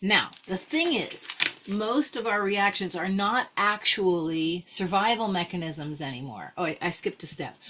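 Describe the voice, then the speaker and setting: A woman speaks at a medium pitch with lively intonation. Noticeable background noise runs under her voice. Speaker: wellness coach. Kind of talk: online course lesson. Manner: fast; casual, conversational.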